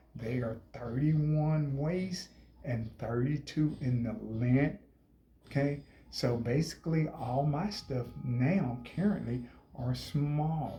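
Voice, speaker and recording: Somewhat breathy, the man's voice sits at a fairly high pitch with ordinary pitch variation and a dark, mellow tone. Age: 60s. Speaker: health vlogger. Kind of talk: casual vlog talk. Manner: animated.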